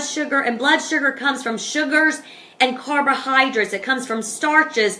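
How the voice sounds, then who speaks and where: A woman speaks at a moderate pace in a raised, projected voice, her high pitch moving with ordinary variation and an animated tone over noticeable background noise. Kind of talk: informal talk to camera. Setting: Facebook live on an iPad.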